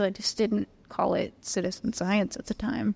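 In an American accent, a woman talks at a moderate pace in an ordinary speaking voice, fairly high in pitch with ordinary variation. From Northern California. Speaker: citizen science association executive officer. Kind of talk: interview. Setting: pub meal.

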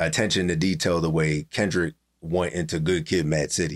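Very deep and low, a man's voice with a Pennsylvania accent moves at a fairly quick pace with ordinary pitch variation, in a very clean recording with a silent background. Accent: Pennsylvania, urban US East Coast. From Allentown, Pennsylvania. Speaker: rapper. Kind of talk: casual podcast interview.

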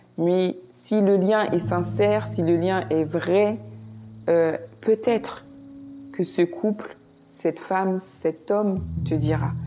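A woman with a fairly low voice speaks at a very slow pace with long, frequent pauses and very wide pitch swings. Her loudness stays very even against noticeable background noise. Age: 30s. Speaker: nurse. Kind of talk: testimony. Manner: halting.

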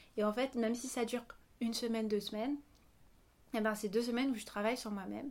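Speaking at a very fast pace with long, frequent pauses, a woman uses a fairly high pitch and monotone, flat intonation. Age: 20s. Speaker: singer and dancer. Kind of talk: interview. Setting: at the host's home on a couch.

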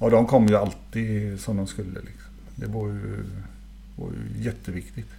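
A man's very deep, low voice at a moderate pace, with very wide pitch swings and big swings in loudness, amid noticeable background noise and audible room echo. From Sweden, Gothenburg. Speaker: former professional footballer. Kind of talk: casual interview.

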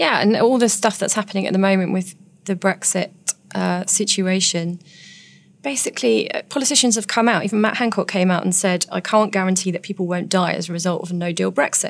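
A woman with an English accent at a medium pitch, fairly quick in pace, with ordinary pitch variation. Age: 40s. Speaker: nurse turned author. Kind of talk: interview.

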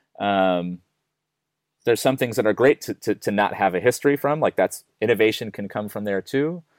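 A man's plain, everyday voice with an American accent, fairly low in pitch, ordinary pitch variation and moderate pace, dry and close with no echo on a very clean recording with a silent background. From United States. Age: 40s. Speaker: music tech startup CEO. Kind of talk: interview.

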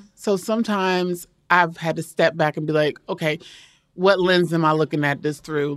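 Someone with an American accent speaks at a moderate pace as music plays in the background. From Maryland, US. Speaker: photographer. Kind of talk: casual interview chat.

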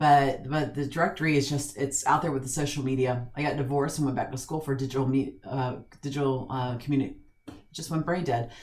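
At a very fast pace, a woman talks in a very deep, low voice. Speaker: podcast host on senior living. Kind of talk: casual interview chat. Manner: animated.

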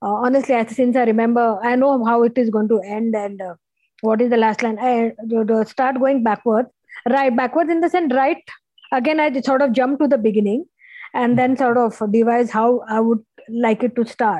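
A woman's high voice at a moderate pace, with very even loudness and ordinary pitch variation. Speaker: novelist. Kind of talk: interview.

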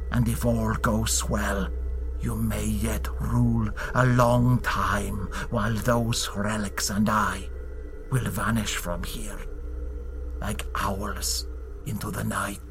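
Over loud background noise, a man in a put-on character voice speaks at a very slow pace with long, frequent pauses.

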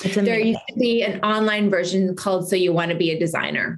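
Fairly quick in pace, a woman with an unremarkable speaking voice talks at a medium pitch with ordinary pitch variation. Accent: Canadian. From Saskatchewan, Canada. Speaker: entrepreneur and model. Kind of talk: interview.

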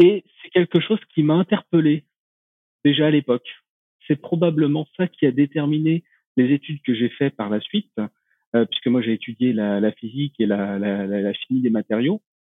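A man speaks at a fairly high pitch, with long, frequent pauses. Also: lively intonation, moderate pace. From rural France. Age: 30s. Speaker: renewable energy researcher. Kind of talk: podcast interview. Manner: hesitant, many fillers.

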